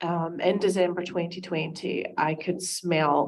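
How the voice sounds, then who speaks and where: Speaking at a fairly slow pace, a woman with a Scottish accent uses a fairly low pitch and monotone, flat intonation. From Scotland. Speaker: concerned parent at town hall. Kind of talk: public testimony. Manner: hesitant, many fillers.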